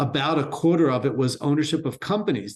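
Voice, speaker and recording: A man's normal speaking voice with an American accent, at a fairly quick pace with ordinary pitch variation. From Baltimore, US. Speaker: entrepreneur and wealth firm co-founder. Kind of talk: interview conversation.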